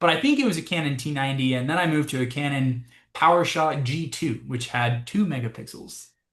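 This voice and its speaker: A man with an American accent has an ordinary speaking voice, fairly high in pitch, with ordinary pitch variation and a fairly quick pace. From California. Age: 30s. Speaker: bird photographer, guest speaker. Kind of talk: Q&A after a presentation. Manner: casual, many fillers.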